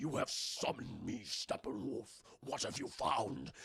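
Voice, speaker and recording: A man puts on a raspy character voice at a medium pitch, speaking at a fairly slow pace. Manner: commanding, menacing.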